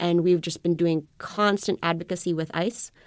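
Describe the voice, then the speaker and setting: A woman speaks at a fairly quick pace in an ordinary speaking voice, fairly low in pitch and fairly even in intonation, on a very clean recording with a silent background. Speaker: immigration attorney. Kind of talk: interview. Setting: radio interview.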